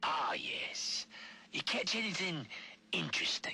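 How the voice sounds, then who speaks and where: A man whispers. He uses a put-on character voice. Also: fairly slow pace. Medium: video game. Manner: sly.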